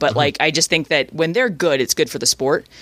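A woman's lively, fairly quick voice with a Canadian accent, on a very clean recording with a silent background. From Canada. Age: 30s. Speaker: sports radio host. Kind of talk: casual chat.

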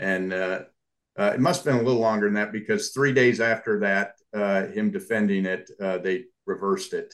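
An unremarkable speaking voice from a man, with ordinary pitch variation at a moderate pace. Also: fairly low pitch for a man. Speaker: book club member. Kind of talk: online group discussion.

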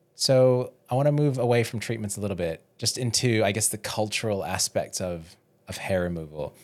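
A man with an Australian accent, fairly quick pace and ordinary pitch variation. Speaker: podcast co-host and audio editor. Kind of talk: casual chat.

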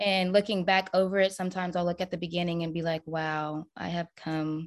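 A woman with an American accent and a plain, everyday voice, fairly low in pitch, at a moderate pace with fairly even intonation against a quiet background. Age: 30s. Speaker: single mother, social media creator. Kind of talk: podcast interview.

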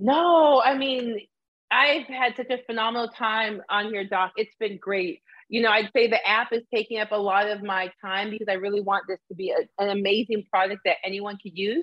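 A woman speaks at a moderate pace with a plain, everyday voice. Her pitch is fairly high, with ordinary pitch variation. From Arizona, US (born in Canada). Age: 40s. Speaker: diversity educator and former college coach. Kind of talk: live-streamed interview conversation. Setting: live video stream.

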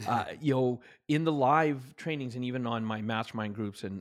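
A man with a Canadian accent, at a moderate pace and with ordinary pitch variation. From Canada. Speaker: author and motivational trainer. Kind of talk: podcast interview. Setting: remote call from home. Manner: animated.

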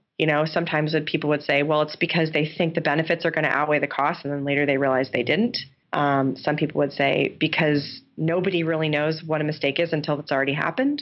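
A woman speaks very fast with a New York State accent and hardly any pauses. Her pitch is very deep and low, her intonation fairly even, and her loudness very even. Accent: American (New York State). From upstate New York. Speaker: game designer and professor. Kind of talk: interview.

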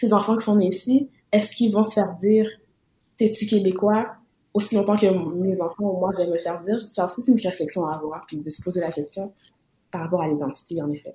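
A woman speaks at a fairly quick pace in a medium pitch, her tone dark and mellow and somewhat breathy. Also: ordinary pitch variation. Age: 20s. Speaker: student. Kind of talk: casual chat.

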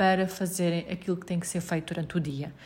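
A woman speaks in a somewhat breathy voice with a European Portuguese accent. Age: 30s. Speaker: podcast host. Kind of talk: casual advice talk.

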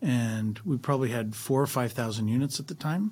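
With a somewhat breathy voice at a medium pitch, a man talks at a fairly quick pace. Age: 60s. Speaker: real estate investor. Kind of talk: interview.

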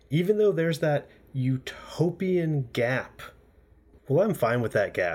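An ordinary speaking voice comes from a man with an American accent. He talks at a fairly slow pace with lively intonation. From US, Florida. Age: 30s. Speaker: podcast host. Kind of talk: scripted narration; casual chat.

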